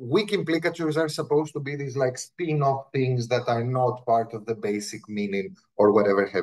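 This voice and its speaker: A man's somewhat breathy voice, medium in pitch, with a non-native accent, lively intonation and a fairly quick pace. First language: Greek. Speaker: linguistics professor. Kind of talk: academic talk. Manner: conversational, with frequent repetitions.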